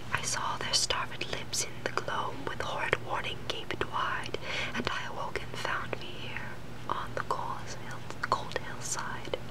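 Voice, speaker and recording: A woman's whispering comes at a fairly slow pace, with noticeable background noise around it. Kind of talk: poetry reading. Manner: whispered.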